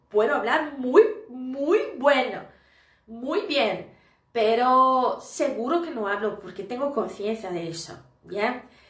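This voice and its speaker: Speaking at a very slow pace, a woman uses a high pitch and lively intonation, with big swings in loudness. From Brazil. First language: Portuguese (speaking Spanish). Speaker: Spanish teacher. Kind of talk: live stream lesson. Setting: live stream. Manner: casual, conversational.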